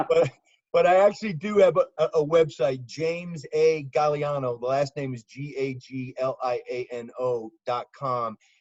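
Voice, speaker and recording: A man talks at a moderate pace in a New York accent. His pitch is fairly high and varies in an ordinary way. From US South (Birmingham, Alabama). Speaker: former FBI agent and law enforcement analyst. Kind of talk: podcast interview. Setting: video call. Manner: animated.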